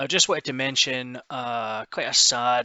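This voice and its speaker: With a Scottish accent, a man talks at a fairly slow pace. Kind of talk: casual news commentary to camera.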